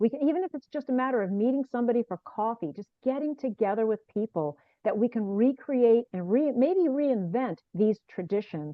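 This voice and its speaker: This woman has a fairly high pitch and lively intonation. She talks at a fairly quick pace with hardly any pauses. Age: 60s. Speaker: author and speaker. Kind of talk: casual interview.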